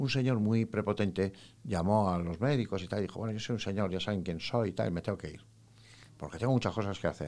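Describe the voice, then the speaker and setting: On a very clean recording with a silent background, a man with a fairly low pitch and a dark, mellow tone talks at a fairly quick pace with lively intonation. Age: 60s. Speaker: psychologist. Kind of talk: interview.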